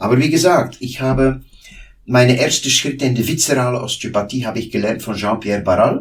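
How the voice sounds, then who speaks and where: Somewhat breathy and medium in pitch, a man speaks at a fairly quick pace with ordinary pitch variation. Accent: Flemish. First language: Dutch (speaking German). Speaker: osteopath. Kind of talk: interview. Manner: halting.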